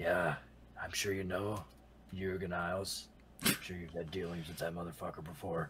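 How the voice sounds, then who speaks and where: Putting on a character voice, a man speaks in a raspy, very deep, low pitch with monotone, flat intonation at a moderate pace with long, frequent pauses. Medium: actual play. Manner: cocky, casual.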